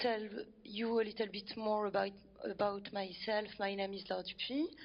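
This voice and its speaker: A woman speaks with a French accent. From France. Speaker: climate group founder. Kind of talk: presentation talk. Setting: event venue with audience.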